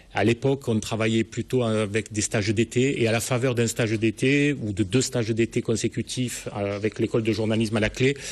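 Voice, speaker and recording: At a moderate pace, a man speaks at a medium pitch with fairly even intonation against a quiet background. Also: hardly any pauses, very even loudness. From southern France, Languedoc (Sète). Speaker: newspaper editor-in-chief. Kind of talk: TV interview.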